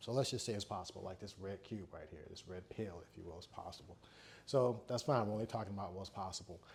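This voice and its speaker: Talking very fast, a man uses a fairly low pitch with ordinary pitch variation. His somewhat breathy voice shows big swings in loudness. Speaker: engineer and spiritual vlogger. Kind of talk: casual monologue vlog. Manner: rushed, stuttering.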